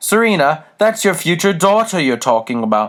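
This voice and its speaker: A man uses a put-on character voice at a high pitch. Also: moderate pace. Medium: read story. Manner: prim, scolding.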